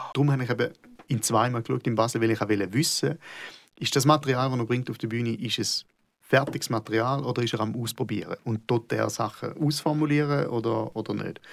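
Talking at a fairly quick pace, a man speaks with vocal fry. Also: medium pitch for a man, ordinary pitch variation, very clean recording, silent background. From Switzerland, Schaffhausen. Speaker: comedian. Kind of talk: casual conversation.

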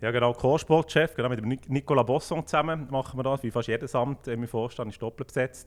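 A man's plain, everyday voice at medium pitch, fairly quick and fairly even in intonation, with hardly any pauses. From Switzerland, Fribourg canton (Düdingen). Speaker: football club sporting director. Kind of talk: casual interview.

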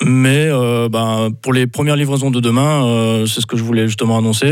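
Here a man speaks at a moderate pace. His medium-pitched voice has fairly even intonation. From northern France, Lille. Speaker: artisan baker. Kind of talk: radio interview.

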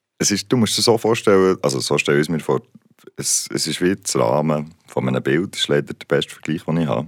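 Talking at a very fast pace, a man with a very deep, low pitch uses lively intonation and vocal fry. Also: dry, close sound with no echo. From Switzerland, Basel. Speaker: musician. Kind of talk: interview. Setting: studio.

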